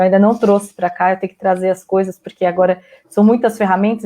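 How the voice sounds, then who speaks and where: Talking very fast, a woman holds a medium pitch. Her intonation stays fairly even. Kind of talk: live stream interview.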